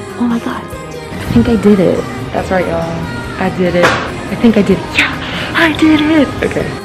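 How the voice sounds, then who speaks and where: Speech at a moderate pace, with clear music in the background. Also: woman. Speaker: college student. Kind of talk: casual vlog talk to camera. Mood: relieved, pleased. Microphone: phone near.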